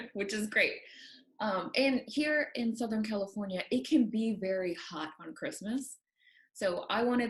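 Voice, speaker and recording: A woman's somewhat breathy, fairly high-pitched voice with lively intonation. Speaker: knitting podcast co-host. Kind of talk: casual chat. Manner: fast.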